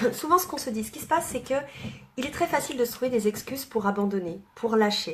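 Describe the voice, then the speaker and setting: Lively intonation marks a woman talking at a fairly quick pace. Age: 30s. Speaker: network marketing coach. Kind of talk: live video talk to followers. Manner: fast.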